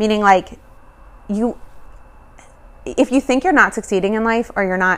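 Here is a woman with an American accent at a moderate pace. Her pitch is medium, with ordinary variation. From New York. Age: 20s. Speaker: podcast guest. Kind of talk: casual chat.

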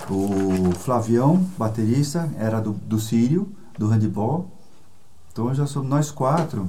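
Over audible room echo, a man speaks very slowly with lively intonation. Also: medium pitch for a man. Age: 60s. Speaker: guitarist. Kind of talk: casual chat. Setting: home studio.

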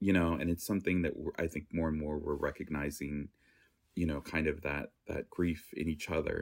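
Speaking at a moderate pace, a man has a very deep, low pitch. His delivery stays monotone and flat. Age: 40s. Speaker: artist and curator. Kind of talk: interview. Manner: hesitant, many fillers.

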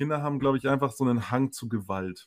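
A very clean recording with a silent background, featuring a man's voice. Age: 20s. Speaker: podcast co-host. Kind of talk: casual chat.

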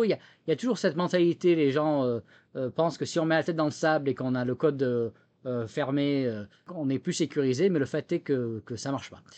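Against a quiet background, a man speaks in a dark, mellow tone at a fairly high pitch with ordinary pitch variation. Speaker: former military software chief. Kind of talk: interview. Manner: halting, many repetitions and fillers.

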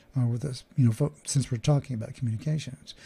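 A man speaks with an American accent, his voice somewhat breathy. His tone is dark and mellow. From Oklahoma. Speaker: podcast host and communication coach. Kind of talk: solo podcast talk. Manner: halting.

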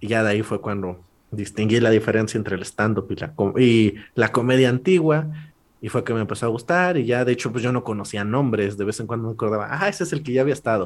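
A man at a very fast pace, medium pitch and ordinary pitch variation, on a very clean recording with a silent background. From Mexico, rural Puebla state. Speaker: law student and comedy YouTuber. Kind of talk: casual chat.

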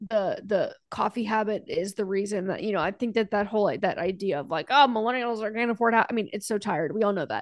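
This woman talks in a plain, everyday voice. Her pitch is fairly high and her pace fairly quick. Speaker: personal finance creator. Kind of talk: casual interview chat. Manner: articulate, conversational, laughs often.

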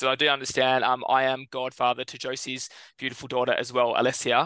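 Bright and sharp in tone, a man with an Australian accent speaks at a fairly quick pace in a medium pitch. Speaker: podcast co-host. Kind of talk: casual chat.

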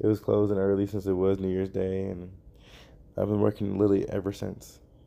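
A man's fairly low voice, monotone and flat, at a fairly quick pace. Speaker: podcast host. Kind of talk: casual chat. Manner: rambling, chatty, joking.

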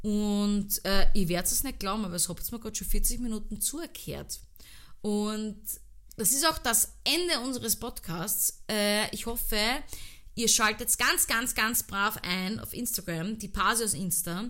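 A woman with a Viennese accent speaks at a fairly slow pace in a fairly high voice, bright and sharp in tone. Her delivery has an animated tone and ordinary pitch variation. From Austria, Vienna (Donaustadt). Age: 30s. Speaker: podcast host, dancer. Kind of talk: casual solo podcast monologue.

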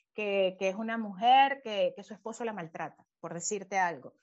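With a Venezuelan accent, a woman speaks at a fairly slow pace in a fairly high pitch with ordinary pitch variation. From Venezuela (Caracas, Valencia). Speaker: actress, director and acting coach. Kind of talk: interview. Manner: halting, with many repetitions.

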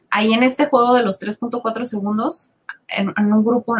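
A woman with a plain, everyday voice and fairly high pitch speaks at a fairly slow pace. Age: 40s. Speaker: business consultant. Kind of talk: podcast interview.

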